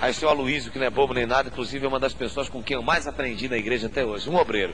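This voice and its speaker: A man's very fast, animated delivery at a medium pitch, with ordinary pitch variation. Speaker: pastor. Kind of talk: sermon.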